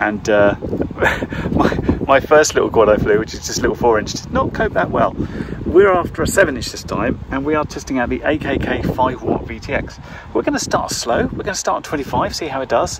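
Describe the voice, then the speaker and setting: A man talks at a moderate pace. His voice sounds dry with no echo over loud background noise. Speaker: drone hobbyist reviewer. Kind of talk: casual vlog chat. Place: open country. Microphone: phone near.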